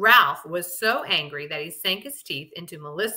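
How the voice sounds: The speaker uses a natural reading voice.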